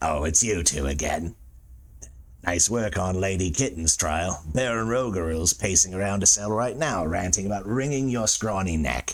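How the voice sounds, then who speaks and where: A man speaks at a moderate pace in a put-on character voice with a very deep, low pitch. His intonation is lively. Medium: solo performance. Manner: sarcastic, blunt.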